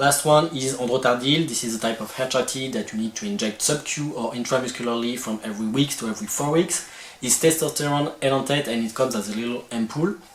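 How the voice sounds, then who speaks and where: Talking very fast with hardly any pauses, a man with a strong French accent speaks at a medium pitch over noticeable background noise. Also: ordinary pitch variation. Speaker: video creator. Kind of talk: informational tutorial. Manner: some hesitations.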